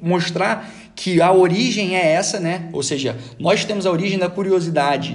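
A man's high voice with a Rio de Janeiro accent, audible room echo and noticeable background noise. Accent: Rio de Janeiro Brazilian Portuguese. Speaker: podcast panelist, soldier. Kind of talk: casual group discussion.

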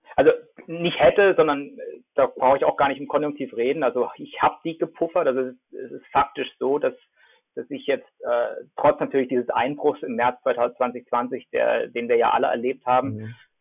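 A man talks at a moderate pace, his loudness swinging widely from moment to moment. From Germany, Freiburg (Baden). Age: 40s. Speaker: sports marketing entrepreneur. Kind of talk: casual interview.

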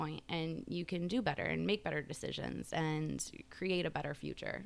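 Vocal fry runs through speech delivered at a moderate speed. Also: woman. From Chicago southwest suburbs, US. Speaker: author. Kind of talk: interview, casual conversation.

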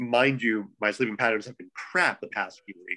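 A man speaks with a bright, sharp tone. His pace is moderate, with ordinary pitch variation. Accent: American. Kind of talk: casual chat, podcast interview.

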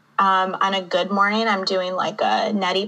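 A woman of medium pitch at a moderate pace, with noticeable background noise. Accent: American. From Michigan. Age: 30s. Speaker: poet and author. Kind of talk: casual interview chat.

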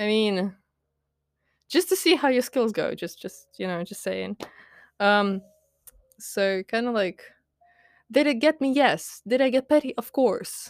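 With lively intonation and a fairly high pitch, a woman speaks at a fairly slow pace, leaving long, frequent pauses. The recording is very clean with a silent background and a dry, close sound with no echo. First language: Latvian and Russian. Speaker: podcaster and writer. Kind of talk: casual rant monologue. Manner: hesitant with many fillers.

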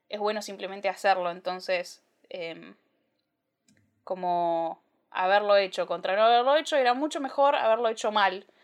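Her intonation is lively, and this woman's pitch sits in the medium range at a moderate pace. She leaves long, frequent pauses against a quiet background. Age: 20s. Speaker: podcast host. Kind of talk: solo podcast monologue. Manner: casual with frequent fillers.

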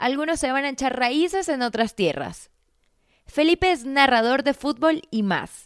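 In a very clean recording with a silent background, a woman with a high pitch speaks at a fairly slow pace, animated in tone and lively in intonation. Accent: Venezuelan. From Venezuela, near Colombian border. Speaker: podcast host, journalist. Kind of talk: casual interview chat; scripted intro narration.

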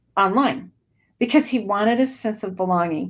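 Her pitch sits in the medium range. The woman speaks in an American accent. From US Northwest (Idaho). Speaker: children's ministry missionary. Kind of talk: online training webinar.

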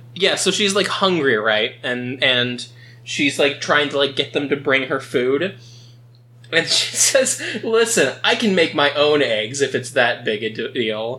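Over noticeable background noise, a man with a fairly high voice speaks at a fairly slow pace, his intonation lively. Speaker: podcast host. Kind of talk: casual comedic chat reading and recapping stories.

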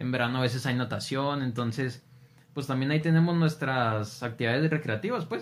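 At a fairly quick pace, a man of medium pitch speaks with ordinary pitch variation. He has a plain, everyday voice. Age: 20s. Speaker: seminarian. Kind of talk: casual chat.

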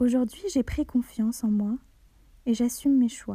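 A woman speaks with a dark, mellow tone and a somewhat breathy quality. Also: dry, close sound with no echo. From Algeria and France. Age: 20s. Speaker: student sharing a personal testimony. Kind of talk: reading a personal letter aloud.

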